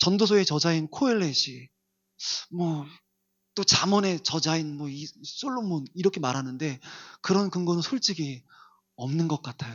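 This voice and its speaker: Pitched fairly high, a man speaks at a fairly slow pace. Long pauses come often. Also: lively intonation. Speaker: pastor. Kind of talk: sermon. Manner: varies between loud and soft.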